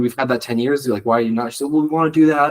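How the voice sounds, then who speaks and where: A man speaks with an American accent. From New York. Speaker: student club founder. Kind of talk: podcast interview. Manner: fast; casual, many fillers.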